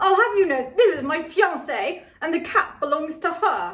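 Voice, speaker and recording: In a croaky, put-on character voice, a woman talks at a moderate pace and an extremely high pitch. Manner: affronted, indignant.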